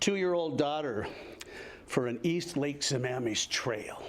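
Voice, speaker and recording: With audible room echo, a man with an American accent talks at a moderate pace in a fairly high pitch, with ordinary pitch variation. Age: 70s. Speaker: retired firefighter, public commenter. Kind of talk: public comment at city council meeting. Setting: council chamber, public meeting. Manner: halting, many fillers.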